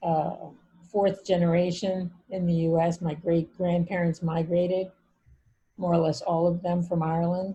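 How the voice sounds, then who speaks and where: A woman with an American accent speaks at a moderate pace, her fairly low voice dark, mellow and somewhat breathy. Her intonation is flat and monotone, and her loudness stays very even. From Brooklyn, New York and Bucks County, Pennsylvania. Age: 70s. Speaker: family therapist and author. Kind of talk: interview.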